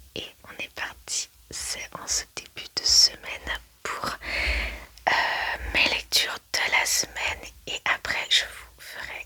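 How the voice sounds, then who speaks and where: A woman's very slow whisper is heard through noticeable background noise. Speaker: ASMR book-review creator. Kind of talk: casual ASMR book review talk to camera. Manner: soft, relaxed, conversational.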